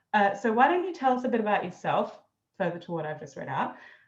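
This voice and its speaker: A woman speaks with lively intonation. Audible room echo surrounds her voice. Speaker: marketing consultant and interview host. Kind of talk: interview. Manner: ad-libbing, informal.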